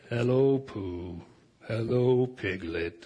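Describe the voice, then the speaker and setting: A man's put-on character voice at medium pitch. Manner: glum, gloomy.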